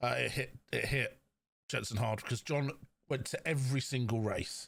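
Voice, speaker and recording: A man with vocal fry speaks at a moderate pace and a medium pitch. His intonation is fairly even and his loudness very even. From London. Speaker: podcast co-host. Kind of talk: casual chat.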